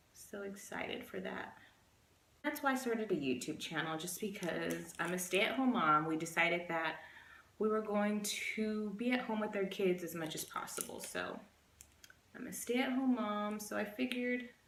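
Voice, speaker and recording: Lively in intonation, a woman speaks at a moderate pace with a medium pitch, with noticeable background noise and audible room echo. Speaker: beauty vlogger. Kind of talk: casual chat. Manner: halting.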